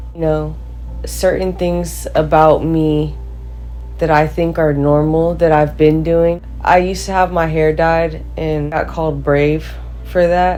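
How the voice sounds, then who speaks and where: Over music in the background and audible room echo, a woman with an American accent speaks at a fairly slow pace. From California. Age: 20s. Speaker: college athlete. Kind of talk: interview testimony. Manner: casual, filler-heavy.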